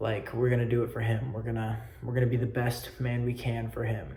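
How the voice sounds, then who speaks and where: At a fairly quick pace and a medium pitch, a man speaks with monotone, flat intonation in a room with audible echo. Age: young. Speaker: student. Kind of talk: self-presentation video. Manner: loud; halting.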